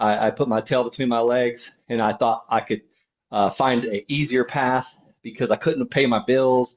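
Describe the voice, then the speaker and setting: The speaker has a slight Southern US accent. The intonation stays fairly even. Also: man. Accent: slight Southern drawl. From Florida (Okeechobee). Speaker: land investor. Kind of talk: podcast interview.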